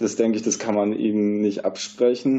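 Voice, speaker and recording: A man of medium pitch at a fairly slow pace. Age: 20s. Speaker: sports journalist. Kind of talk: casual chat.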